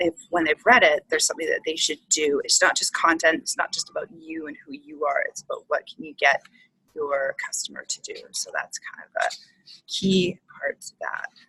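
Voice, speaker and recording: A woman at a moderate pace with big swings in loudness, in a dry, close sound with no echo. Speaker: business coach. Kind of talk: webinar presentation. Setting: coffee shop.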